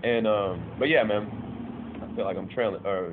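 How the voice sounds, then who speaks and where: Speaking fairly slowly with an American accent, a man is heard through noticeable background noise. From Lakewood, Washington, US. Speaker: musician and public speaker. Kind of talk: interview. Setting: on location in a city district. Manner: casual, slangy.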